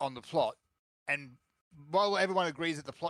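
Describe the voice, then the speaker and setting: A man with an Australian accent, bright and sharp in tone, at a fairly quick pace, in a dry, close sound with no echo. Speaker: gaming podcast co-host. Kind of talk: casual chat.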